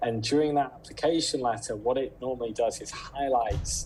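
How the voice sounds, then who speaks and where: Light background noise sits behind the speaker. He is a man with a British accent. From Britain. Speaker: recruiter. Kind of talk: webinar talk giving tips. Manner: casual with filler words. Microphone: video call.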